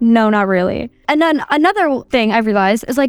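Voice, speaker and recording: Her high-pitched voice moves through very wide pitch swings in an animated tone. The woman speaks at a fairly quick pace. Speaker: podcast host. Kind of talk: casual solo podcast monologue. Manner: loud.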